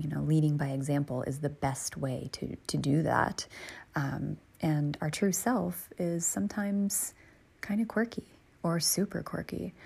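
In a low, husky voice with a rough edge and vocal fry, a woman talks at a moderate pace with few pauses, a slightly mellow tone and fairly even intonation.

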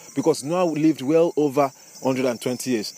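Over noticeable background noise, a man talks with a fairly high pitch and fairly even intonation. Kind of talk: devotional teaching with prayer. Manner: fervent, prayerful.

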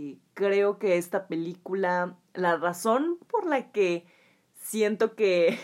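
On a very clean recording with a silent background, a woman speaks with a Mexican accent. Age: 20s. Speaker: podcast host. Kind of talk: solo podcast monologue. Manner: animated.

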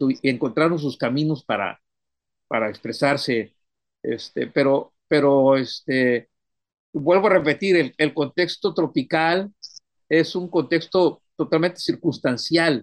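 Delivered very slowly, the speech shows ordinary variation in pitch. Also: man, fairly high pitch for a man. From Mexico, Tamaulipas (Ciudad Madero). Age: 60s. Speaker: poet. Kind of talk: interview. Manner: halting, many repetitions.

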